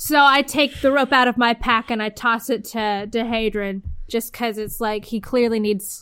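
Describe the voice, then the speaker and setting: A woman with an unremarkable speaking voice talks at a moderate pace, her fairly high pitch carrying fairly even intonation. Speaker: tabletop game player. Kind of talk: casual role-play chat.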